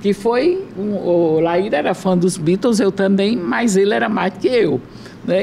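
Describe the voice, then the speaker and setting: A woman's medium-pitched voice proceeds at a fairly slow pace, with noticeable background noise around it. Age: 70s. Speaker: former politician. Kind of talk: casual chat.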